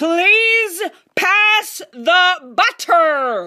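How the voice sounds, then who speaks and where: This loud, put-on character voice sits at an extremely high pitch. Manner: announcing loudly.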